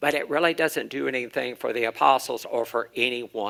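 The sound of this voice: With ordinary pitch variation, the delivery is an unforced reading voice.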